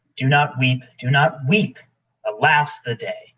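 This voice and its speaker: A man puts on a character voice, fairly high in pitch, delivered at a fairly slow pace. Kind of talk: Shakespearean stage acting. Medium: stage play.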